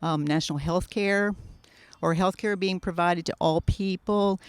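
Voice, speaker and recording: In a dry, close recording with no echo and a silent, very clean background, a woman with an unremarkable speaking voice talks at a fairly low pitch with ordinary pitch variation. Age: 60s. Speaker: local arts community member. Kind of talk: street interview.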